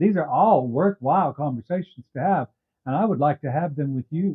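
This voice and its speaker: Using lively intonation and an unremarkable speaking voice, a man moves along at a fairly quick pace. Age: 60s. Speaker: YouTube commentator. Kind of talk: casual talk to camera. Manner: wry, humorous.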